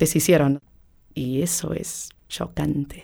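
Speaking at a fairly slow pace, a woman has a very deep, low pitch and a dark, mellow tone. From United States. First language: English (speaking Spanish). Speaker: interviewee. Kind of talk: interview testimony.

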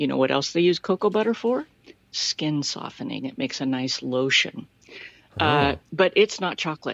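At a moderate pace, a woman speaks with a very deep, low pitch. Her pitch swings very widely. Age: 40s. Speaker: listener leaving a voice message. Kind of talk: recorded voice message. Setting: recorded voice message played on the show.

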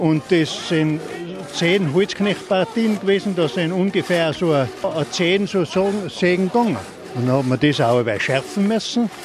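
Noticeable background noise sits under a man's high-pitched voice. He speaks at a moderate pace with lively intonation and very even loudness. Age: old. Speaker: retired woodcutter. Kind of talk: interview.

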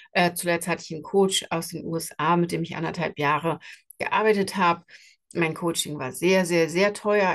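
A woman uses a plain, everyday voice, fairly low in pitch, with fairly even intonation and a moderate pace. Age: 40s. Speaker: podcast host and skin health coach. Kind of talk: solo podcast monologue. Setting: travelling, in Switzerland. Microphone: travel setup without usual microphone, poorer sound.

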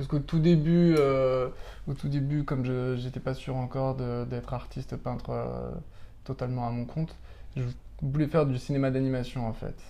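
With audible room echo, a man talks at a moderate pace in a medium pitch, his intonation flat and monotone. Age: 30s. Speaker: pastel artist. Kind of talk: casual interview. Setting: apartment studio. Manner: halting.

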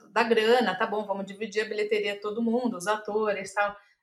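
Her voice is fairly high in pitch. The woman's intonation is monotone and flat. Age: 40s. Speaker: screenwriter and playwright. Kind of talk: interview conversation.

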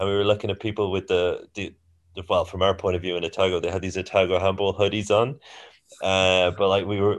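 A man's very deep, low-pitched voice in a monotone, flat intonation. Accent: Irish. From Ireland. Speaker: handball coach. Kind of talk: casual chat.

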